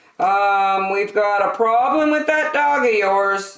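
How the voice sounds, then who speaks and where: Using a put-on character voice, a woman speaks at a fairly slow pace and a medium pitch with lively intonation. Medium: read story.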